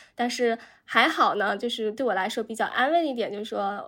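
A woman's fairly high voice with ordinary pitch variation and a fairly quick pace, a plain, everyday voice, on a very clean recording with a silent background. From China. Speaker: journalist. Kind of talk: casual chat.

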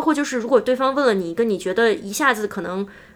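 A woman races along at a very fast pace, her pitch swinging very widely, while noticeable background noise carries on. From mainland China. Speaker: UX designer. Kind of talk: interview.

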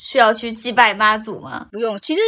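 A woman with a bright, sharp tone speaks at a moderate pace and a fairly high pitch. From Taiwan, Hakka family. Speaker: podcast guest. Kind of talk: casual chat.

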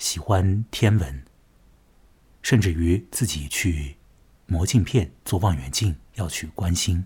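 A man with a very deep, low pitch and a somewhat breathy voice speaks very slowly with lively intonation and long, frequent pauses, in a very clean recording with a silent background. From Chongming Island, Shanghai. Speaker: podcast host, journalist. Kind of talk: monologue narration. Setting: alone at home at night.

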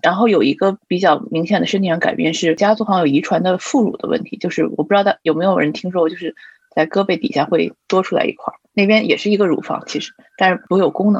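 A woman talks at a very fast pace, her medium pitch showing ordinary variation. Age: 30s. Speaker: graduate student and expectant mother. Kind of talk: casual group chat. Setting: online group recording.

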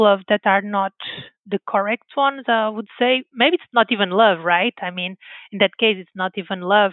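This woman's voice sits at a fairly high pitch. She speaks with a Portuguese accent. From Portugal, Porto area. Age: 30s. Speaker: scientist. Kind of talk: interview.

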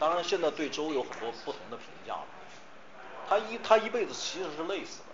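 A man with a high pitch talks at a fairly quick pace but takes long, frequent pauses, with audible room echo and noticeable background noise. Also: lively intonation. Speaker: history professor. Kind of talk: lecture.

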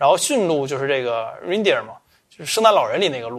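Racing at a very fast pace, a man with a fairly high pitch makes very wide pitch swings. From Northeast China, Changchun. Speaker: podcast host. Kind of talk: casual chat.

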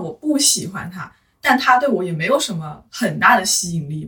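A woman speaks at a medium pitch. Her voice swings very widely in pitch. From Hunan, China. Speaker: office worker. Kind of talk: casual chat.

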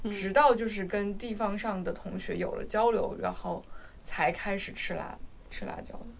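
A woman talks at a moderate pace, and audible room echo surrounds her voice. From Guizhou, China. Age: 30s. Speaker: podcast co-host. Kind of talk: casual chat.

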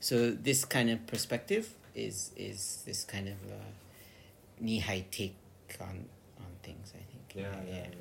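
A man with an American accent and a fairly low pitch speaks at a very slow pace with vocal fry, ordinary pitch variation, and big swings in loudness. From California, US. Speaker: magazine editor. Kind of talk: casual interview. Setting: recorded in his old house in Tokyo, sitting across from hosts.

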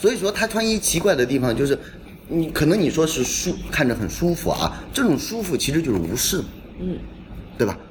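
A man talks at a fairly quick pace with a fairly high pitch. His pitch swings very widely over noticeable background noise. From northern Jiangsu, Xuzhou area. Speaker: curator. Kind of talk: casual chat. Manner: animated.

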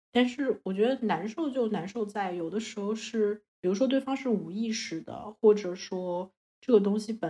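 Her tone dark and mellow, a woman speaks with lively intonation at a medium pitch and moderate pace. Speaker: Chinese student living abroad. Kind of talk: casual chat.

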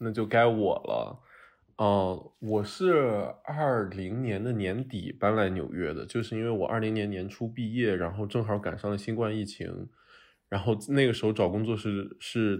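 A man with an ordinary speaking voice, fairly low in pitch, with ordinary pitch variation and a fairly slow pace. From Shanxi, northern China. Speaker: podcast host. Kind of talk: casual chat. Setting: remote recording, three locations.

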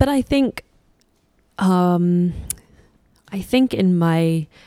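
A woman speaks in a London accent with a dark, mellow tone. The sound is dry and close, with no echo. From London, England. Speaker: musician and singer-songwriter. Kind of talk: interview. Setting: in-person interview in a record store.

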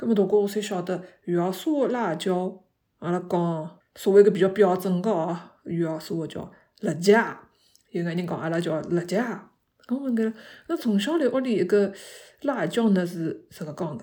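Long, frequent pauses break up this moderate-paced speech, which has a dark, mellow tone and ordinary pitch variation. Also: woman, medium pitch for a woman. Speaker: podcast host. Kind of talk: casual monologue. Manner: halting.

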